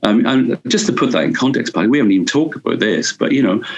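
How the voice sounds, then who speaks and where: A man with a Welsh accent speaks at a very fast pace. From Wales. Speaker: urban policy advisor. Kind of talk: interview answer.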